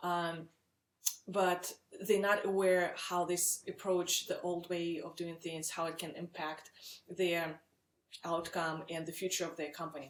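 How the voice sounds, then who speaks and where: With a Russian accent, a woman speaks in a fairly low, monotone voice with flat intonation. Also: fairly slow pace. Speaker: startup founder and CEO. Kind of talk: webinar sales pitch. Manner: frequent filler words, some hesitation.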